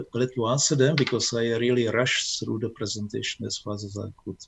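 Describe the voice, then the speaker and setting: Noticeable background noise sits behind a man speaking at a fairly quick pace and a medium pitch. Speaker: amateur astronomy speaker. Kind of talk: Q&A after presentation. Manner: halting.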